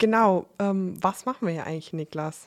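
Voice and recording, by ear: At a fairly quick pace, a woman speaks at a fairly low pitch. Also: ordinary pitch variation.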